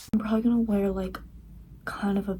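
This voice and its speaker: A woman speaks in a whisper. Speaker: vlogger, university student. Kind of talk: casual vlog chat. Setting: at home. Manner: whispering. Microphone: no external mic, poor sound.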